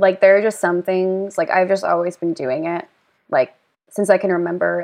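A woman with a plain, everyday voice talks at medium pitch and a fairly quick pace, her intonation fairly even. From rural Pennsylvania. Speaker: writer and wellness worker. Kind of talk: casual chat.

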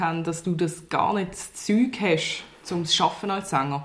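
In a Swiss German accent, a woman talks at a moderate pace. Audible room echo and noticeable background noise surround her voice. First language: Swiss German (speaking German). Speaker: newspaper journalist. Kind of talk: interview.

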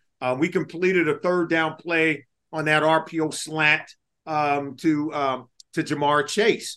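With an American accent, a man speaks very slowly in a flat monotone, his fairly high voice bright and sharp in tone. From Los Angeles, California. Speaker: podcast host, former NFL player. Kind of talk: casual sports chat.

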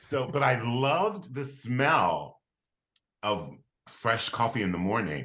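An animated, bright, sharp male voice with vocal fry and an American accent. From Philadelphia, Pennsylvania. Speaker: comedian and writer. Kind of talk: casual chat.

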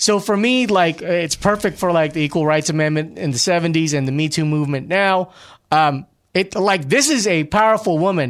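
Pitched high, a man talks at a fairly quick pace with ordinary pitch variation and very even loudness. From Glendale, California (immigrant). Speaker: podcast host. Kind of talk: casual chat.

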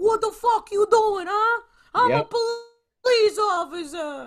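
This put-on character voice, with a Brooklyn accent, is extremely high-pitched and moves at a fairly slow pace. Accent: Brooklyn New York. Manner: gruff, irritated.

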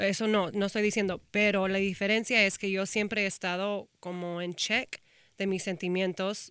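A woman speaks at a medium pitch and a moderate pace. Her intonation is monotone and flat, on a very clean recording with a silent background. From Texas, Austin. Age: 30s. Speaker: talent manager and influencer. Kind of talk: casual interview.

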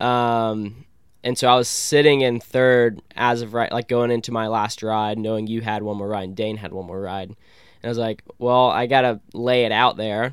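A man with an American accent uses a normal speaking voice at a medium pitch and moderate pace. His intonation is fairly even, on a very clean recording with a silent background. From Columbus, Georgia, US South. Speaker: freestyle kayaker. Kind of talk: casual interview chat. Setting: in an RV.

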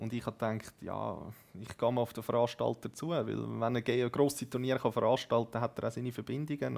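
In a very clean recording with a silent background, a man talks at a fairly quick pace with medium pitch, vocal fry, and fairly even intonation. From Zurich Oberland, Switzerland. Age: 20s. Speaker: esports gamer, team captain. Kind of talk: casual interview.

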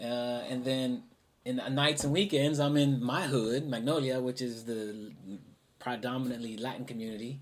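Someone with an American accent talks at a moderate pace with fairly even intonation, and room echo is audible. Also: man, medium pitch for a man. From Houston, Texas. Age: 40s. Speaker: musician and composer. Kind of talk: interview.

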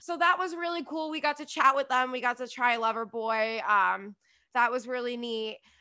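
Speaking in an American accent, a woman uses a high pitch and a bright, sharp tone, with ordinary pitch variation at a moderate pace. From New Jersey. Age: 30s. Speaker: podcast host and reality TV commentator. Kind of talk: casual chat.

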